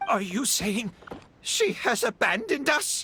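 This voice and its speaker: A put-on character voice with a fairly high pitch unfolds at a fairly slow pace. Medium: video game. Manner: gruff, curt.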